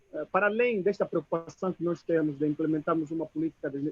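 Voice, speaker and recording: A man talks at a fairly quick pace with an Angolan accent. His pitch is high and his intonation fairly even. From Moxico, Angola. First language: Chokwe (speaking Portuguese). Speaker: audience member. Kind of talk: audience question at video conference.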